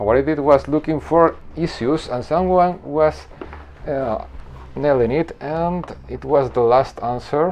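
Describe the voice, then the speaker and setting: A man with a Spanish accent, fairly high-pitched, with ordinary pitch variation and a fairly slow pace. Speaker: software developer youtuber. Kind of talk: screen-recorded coding tutorial. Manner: halting, with self-corrections.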